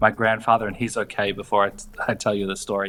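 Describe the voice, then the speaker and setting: Over music in the background, a man with an Australian accent talks at a fairly quick pace. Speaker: comedian, screenwriter and podcast host. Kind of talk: interview answer. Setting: remote call on holiday, no podcast equipment.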